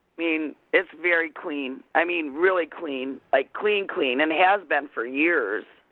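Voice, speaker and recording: Fairly slow delivery with hardly any pauses. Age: 60s. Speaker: prank call target. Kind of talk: casual phone conversation. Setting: phone call.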